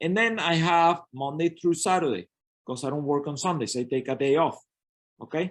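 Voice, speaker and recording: A man speaks with a Spanish accent and ordinary pitch variation. The background is quiet. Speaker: network marketing coach. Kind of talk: business training webinar.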